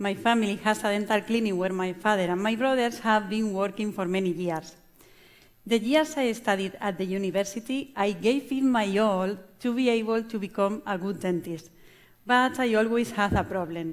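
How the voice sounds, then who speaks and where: A woman with a Spanish accent talks at a moderate pace and medium pitch with ordinary variation. Her recording is very clean, with a silent background. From Spain, La Mancha. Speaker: chef and restaurant owner. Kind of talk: conference talk. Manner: halting.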